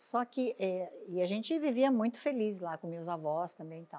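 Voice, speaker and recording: A woman's medium-pitched voice with a dark, mellow tone, ordinary pitch variation and a fairly slow pace, on a very clean recording with a silent background. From Brazil, São Paulo state (Dracena, then São Paulo city). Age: 60s. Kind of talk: testimony. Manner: halting.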